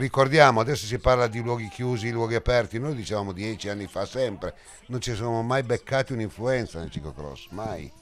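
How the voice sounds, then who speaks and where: A man speaks fairly quickly at a medium pitch, with ordinary pitch variation. Noticeable background noise can be heard. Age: old. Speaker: cycling commentator. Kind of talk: live commentary; interview. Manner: animated.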